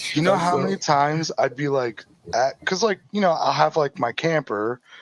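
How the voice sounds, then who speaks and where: Pitched fairly high for a man, his voice proceeds at a moderate pace. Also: lively intonation. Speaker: drift racing driver. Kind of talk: casual podcast chat. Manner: casual, filler-heavy.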